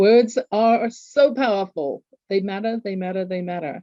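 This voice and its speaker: A woman with an English accent speaks at a fairly slow pace in a medium pitch, her tone dark and mellow and her pitch varying in an ordinary way. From England. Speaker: author and executive coach. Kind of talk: interview.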